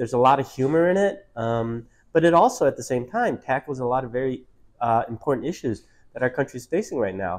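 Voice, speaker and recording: Against a quiet background, the speaker talks at a fairly quick pace with an American accent and lively intonation. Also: man. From US Midwest, Detroit. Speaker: author. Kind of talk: interview. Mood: warm, reflective. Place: cafe. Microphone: lapel.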